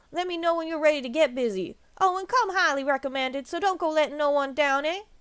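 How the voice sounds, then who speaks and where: A gruff, female-sounding put-on character voice, high in pitch, at a very fast pace. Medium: game stream. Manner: gruff, folksy.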